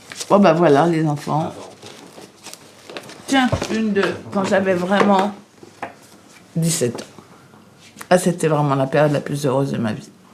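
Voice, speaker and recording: Over noticeable background noise, a woman talks at a fairly slow pace with fairly low pitch, lively intonation, and long, frequent pauses. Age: 60s. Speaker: recovering addict. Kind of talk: testimony.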